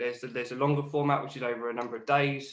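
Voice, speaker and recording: In a strong Geordie accent, a man speaks at a very fast pace with monotone, flat intonation. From northern England, Newcastle. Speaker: podcast host. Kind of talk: podcast interview.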